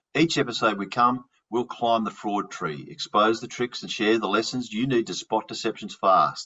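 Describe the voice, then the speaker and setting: Here a man speaks with an Australian accent. His pace is moderate and his intonation lively. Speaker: fraud investigator and podcast host. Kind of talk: podcast interview. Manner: halting, repeats words.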